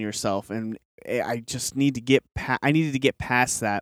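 In a dry, close sound with no echo and a very clean recording with a silent background, a man uses a normal speaking voice at medium pitch, moderate pace and ordinary pitch variation. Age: 30s. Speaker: podcast host. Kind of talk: solo monologue. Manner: casual, filler-heavy.

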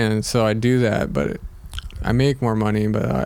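Lively intonation from a man at medium pitch and moderate pace, amid noticeable background noise. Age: 20s. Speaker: skateboarder. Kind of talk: casual chat.

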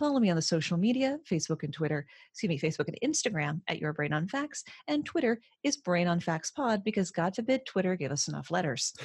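A woman speaks with a fairly low pitch and a somewhat breathy quality. Her pitch swings very widely. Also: moderate pace, very clean recording, silent background. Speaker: podcast host, guest. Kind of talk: conversational, witty. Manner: clear, careful pronunciation.

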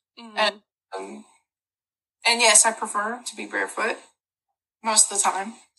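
A woman speaks at a moderate pace, her loudness rising and falling sharply, with long, frequent pauses. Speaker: podcast co-host. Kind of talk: casual chat and reading aloud.

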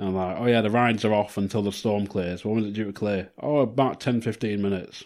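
With an English accent, a man rattles along at a very fast pace with hardly any pauses and a fairly low pitch. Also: very clean recording, silent background. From Blackpool, northern England. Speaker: podcast co-host. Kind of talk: casual chat.

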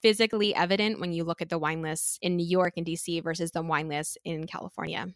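Speaking at a fairly quick pace, a woman has a fairly low pitch, ordinary pitch variation and an unremarkable speaking voice, recorded dry and close with no echo. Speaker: sommelier. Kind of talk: casual interview chat.

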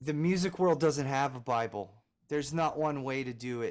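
Recorded very cleanly against a silent background, a man with an American accent speaks in a plain, everyday voice. His fairly high pitch carries lively intonation. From US Northeast, Philadelphia. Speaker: music producer and engineer. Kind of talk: interview.

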